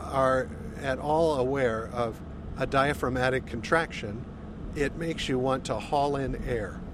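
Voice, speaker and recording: A man speaks at a medium pitch. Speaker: A L S patient. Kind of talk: interview.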